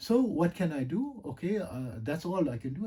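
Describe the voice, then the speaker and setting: With a dark, mellow tone, a man speaks in a fairly high pitch that makes very wide swings. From South Africa. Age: 50s. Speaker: yoga and meditation teacher. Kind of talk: casual monologue. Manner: rambling, hesitant with many fillers.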